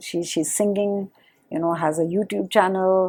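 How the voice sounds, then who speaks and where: A woman speaks with a fairly low pitch and a dark, mellow tone. The recording is very clean, with a silent background. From India, Uttarakhand. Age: 50s. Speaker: nonprofit partnerships director. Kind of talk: podcast interview.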